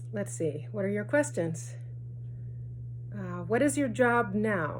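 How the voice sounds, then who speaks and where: A woman's voice with audible room echo. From US Northeast, New Jersey, Chilean parents. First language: Spanish. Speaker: bank debt collector. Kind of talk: interview answers read from questions.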